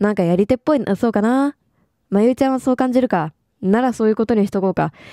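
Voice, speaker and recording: Very fast and dry, close with no echo, a woman speaks at a medium pitch in a dark, mellow tone with ordinary pitch variation. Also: very clean recording, silent background. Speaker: game commentator. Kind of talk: let's play commentary, reading game dialogue aloud.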